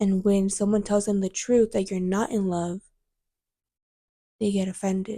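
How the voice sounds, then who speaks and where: A soft-spoken woman talks at a moderate pace and a medium pitch, with a dark, mellow tone and monotone, flat intonation. Long, frequent pauses break up her speech, and the sound is dry and close, with no echo. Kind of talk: casual chat.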